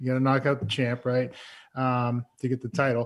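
Against a quiet background, a man speaks in an American accent. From Massachusetts. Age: 30s. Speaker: former NFL quarterback, podcast co-host. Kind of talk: casual chat.

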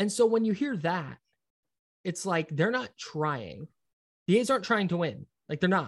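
Here a man with an American accent speaks at a high pitch and a moderate pace, with lively intonation and long, frequent pauses. The sound is dry and close, with no echo. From US West Coast, Brentwood, California (East Bay). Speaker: sports radio producer and host. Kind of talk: casual chat. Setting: office, down the hall.

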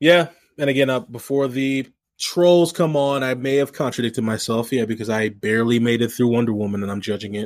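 This is a man with an American accent and a plain, everyday voice. His pitch is medium, with ordinary pitch variation. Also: fairly quick pace, very clean recording, silent background. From St. Louis area, US Midwest. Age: 30s. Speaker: sports podcast co-host. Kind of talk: casual chat. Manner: laughs often.

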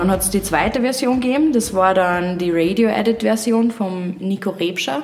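A woman speaks at a moderate pace. Noticeable background noise runs under her voice. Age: 20s. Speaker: singer-songwriter. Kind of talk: casual interview.

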